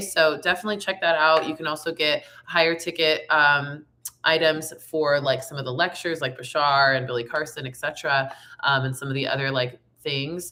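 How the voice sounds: At a moderate pace, a woman speaks in a raspy, low-pitched voice with a bright, sharp tone and fairly even intonation.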